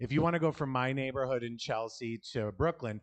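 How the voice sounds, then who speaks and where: A man with a medium pitch and a New York accent, against a quiet background. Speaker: stand-up comedian. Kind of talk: stand-up.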